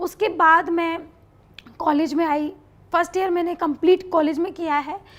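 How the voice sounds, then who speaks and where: A woman's extremely high pitch in a flat monotone. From Meerut, Uttar Pradesh. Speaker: reality show contestant. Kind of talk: interview answer.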